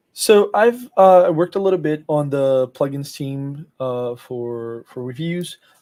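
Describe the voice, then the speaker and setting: A man with a Portuguese accent speaks at a fairly slow pace with hardly any pauses, his fairly high pitch and dark, mellow tone carried by lively intonation and big swings in loudness. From Brazil, Rio de Janeiro. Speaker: software engineer. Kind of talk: interview. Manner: halting, many fillers.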